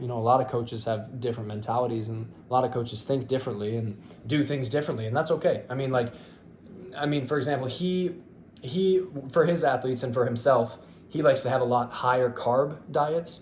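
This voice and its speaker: This man's voice has a somewhat breathy quality. He talks at a fairly quick speed. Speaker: fitness youtuber and bodybuilder. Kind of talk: casual monologue to camera. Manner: fast; hesitant, many fillers.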